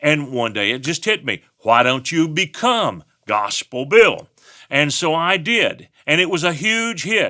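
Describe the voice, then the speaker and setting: A man with a Texan accent, high-pitched with a bright, sharp tone, at a fairly slow pace, in a very clean recording with a silent background. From West Texas. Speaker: pastor. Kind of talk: talk on giving. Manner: folksy storytelling.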